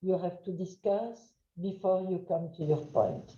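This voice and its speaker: In a French accent, a woman speaks with a dark, mellow tone and fairly even intonation, with audible echo in the room. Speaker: trainer. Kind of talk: webinar lecture. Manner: loud.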